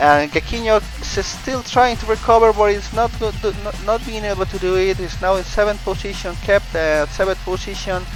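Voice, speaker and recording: A man talks with a non-native accent. Music plays in the background. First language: not English. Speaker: race commentator (amateur, for a simulated racing series). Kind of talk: sports commentary on a motor race. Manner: hesitant, with occasional fillers and self-corrections.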